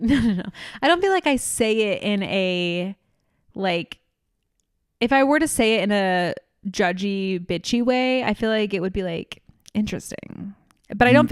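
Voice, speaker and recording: At a medium pitch and moderate pace, a woman speaks with lively intonation and long, frequent pauses, the sound dry and close with no echo. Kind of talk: casual, slangy.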